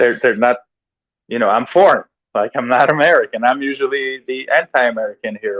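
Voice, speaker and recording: A man with a Hungarian accent at medium pitch and a moderate pace, with ordinary pitch variation, in a dry, close sound with no echo. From Hungary, Budapest. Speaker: professional wrestler. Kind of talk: interview. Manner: halting.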